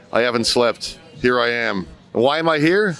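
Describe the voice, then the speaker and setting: Amid noticeable background noise, a man speaks with an American accent. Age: 60s. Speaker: rally attendee. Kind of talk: street interview. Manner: animated.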